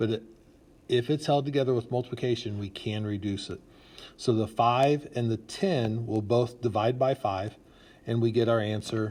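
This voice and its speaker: Against a quiet background, a somewhat breathy man speaks at a moderate pace. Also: medium pitch for a man. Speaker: math teacher. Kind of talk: tutorial.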